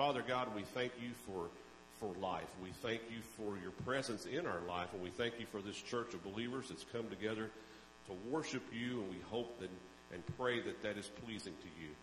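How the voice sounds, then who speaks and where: Audible room echo and light background noise surround a man talking at a moderate pace with ordinary pitch variation. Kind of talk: welcome and announcements, prayer. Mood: warm, relaxed. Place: church. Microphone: handheld.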